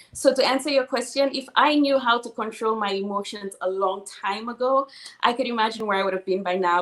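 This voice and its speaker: Over noticeable background noise, a woman with a Saint Lucian accent speaks in an animated tone at a fairly quick pace and fairly high pitch, with hardly any pauses and ordinary pitch variation. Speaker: financial services entrepreneur. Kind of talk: interview.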